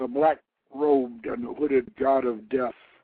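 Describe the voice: Plain reading aloud with fairly even intonation over a quiet background.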